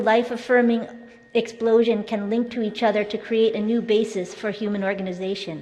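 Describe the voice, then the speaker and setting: A woman talks at a fairly quick pace in a fairly high voice with fairly even intonation. Room echo and background noise are both noticeable. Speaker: keynote speaker, education activist. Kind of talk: conference keynote speech. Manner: fast; formal.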